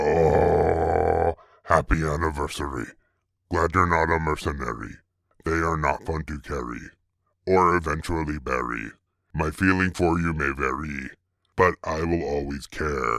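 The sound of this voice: In a very clean recording with a silent background, a man uses a put-on character voice at an extremely low pitch with vocal fry, fairly even intonation and a fairly slow pace. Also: fairly bright tone.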